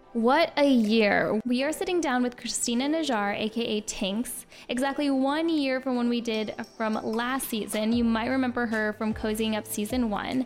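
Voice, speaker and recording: A woman speaks at a high pitch with very even loudness. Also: ordinary pitch variation, moderate pace. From Miami. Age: 20s. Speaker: podcast host. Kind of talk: casual interview.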